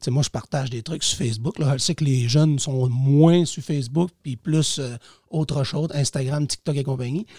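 A fairly high-pitched male voice with a dark, mellow tone, a somewhat breathy quality and ordinary pitch variation, in dry, close sound with no echo. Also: moderate pace. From Quebec, Lac-Saint-Jean region. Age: 40s. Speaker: teacher and municipal councillor. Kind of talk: casual interview.

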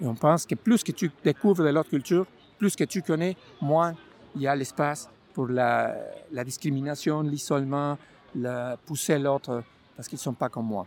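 A man with a Mexican accent speaks at fairly high pitch. He takes long, frequent pauses, with a dry, close sound and no echo. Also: ordinary pitch variation, moderate pace. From Mexico. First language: Spanish (speaking French). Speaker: community organization founder. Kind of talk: personal testimony.

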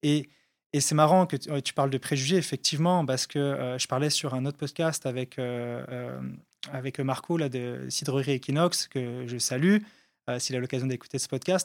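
In a normal speaking voice, a man talks at a moderate pace with medium pitch and fairly even intonation, recorded very cleanly against a silent background with a dry, close sound and no echo. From France, Haute-Savoie (French Alps). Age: 30s. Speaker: entrepreneur, founder of a farm crowdfunding platform. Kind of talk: casual interview. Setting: studio.

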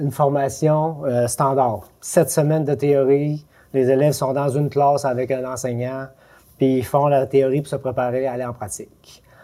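A man talks at a fairly slow pace, his pitch fairly high. His tone is dark and mellow. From Quebec, Lac-Saint-Jean. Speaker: educational advisor, former truck driver. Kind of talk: casual interview.

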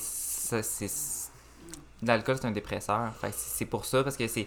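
A man at medium pitch, with fairly even intonation and a fairly slow pace. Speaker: cinema manager and podcaster. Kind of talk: casual chat. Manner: calm.

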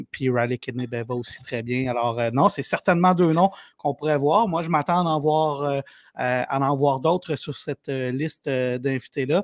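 A man with a Quebec accent talks at a fairly slow pace and fairly high pitch with ordinary variation, in a dry, close sound with no echo. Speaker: sports journalist. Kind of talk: casual chat.

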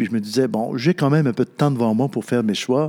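This man speaks in a Quebec accent at a medium pitch and a moderate pace. His pitch variation is ordinary. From Quebec North Shore, Natashquan. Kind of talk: interview. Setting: church. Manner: halting.

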